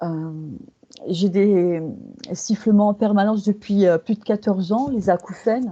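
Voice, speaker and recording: Her intonation is fairly even and her tone dark and mellow, at a medium pitch for a woman. She speaks at a fairly slow pace with long, frequent pauses. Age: 60s. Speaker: hypnosis client. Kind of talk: testimony. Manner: halting.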